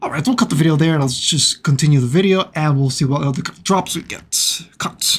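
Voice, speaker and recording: With noticeable background noise behind him, a man talks at a fairly quick pace and a fairly high pitch. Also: ordinary pitch variation. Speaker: gaming video creator. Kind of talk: gameplay commentary. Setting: at home, father asleep next door. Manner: quiet, keeping voice down.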